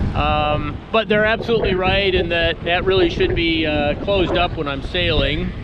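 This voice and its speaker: Audible room echo and noticeable background noise surround this recording. The man speaks with a high pitch and fairly even intonation. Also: moderate pace, hardly any pauses. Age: 60s. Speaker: sailing vlogger. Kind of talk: casual vlog narration. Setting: outdoors on a sailboat. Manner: halting, many fillers.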